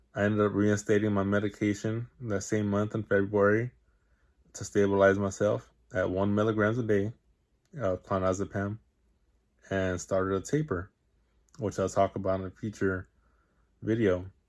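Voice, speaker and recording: Pausing long and often, a man speaks at a moderate pace. His pitch is fairly low and his intonation fairly even. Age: 20s. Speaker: vlogger sharing personal experience. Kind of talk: personal testimony monologue. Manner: halting, with fillers and repetitions.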